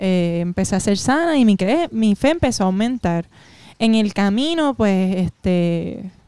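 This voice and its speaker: A woman speaks at a medium pitch and a fairly slow pace, her tone dark and mellow with very wide pitch swings. The sound is dry with no echo, and the background is quiet. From Puerto Rico. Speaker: comedian. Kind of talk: casual chat. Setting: at her home. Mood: emotional personal faith testimony. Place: studio. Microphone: handheld.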